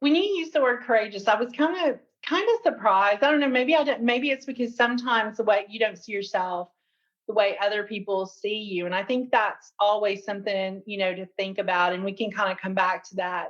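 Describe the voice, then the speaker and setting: With an American accent, a woman speaks at a fairly quick pace. Her voice is fairly high, with ordinary pitch variation. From Tennessee, US South. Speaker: HR executive. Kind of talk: interview conversation.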